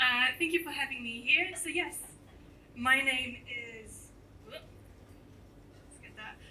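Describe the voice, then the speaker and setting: In a room with audible echo, a woman speaks at a very slow pace and high pitch, her pitch varying in an ordinary way and her loudness swinging widely. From France, moved to New Zealand at eleven. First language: French. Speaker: entomologist giving a talk. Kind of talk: popular science talk. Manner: animated.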